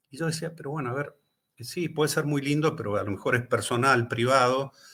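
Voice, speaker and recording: A man with an Argentine accent has a bright, sharp tone and ordinary pitch variation. The recording is very clean, with a silent background. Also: fairly high pitch for a man, fairly quick pace. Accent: Rioplatense Argentine Spanish. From Argentina. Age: 60s. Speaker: author and pilgrim. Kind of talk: casual chat. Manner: animated.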